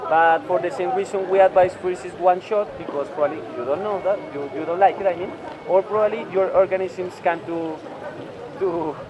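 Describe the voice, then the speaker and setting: A man's high voice with fairly even intonation at a moderate pace over noticeable background noise. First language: Spanish. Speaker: tour guide. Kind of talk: guided walking tour. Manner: halting, many fillers.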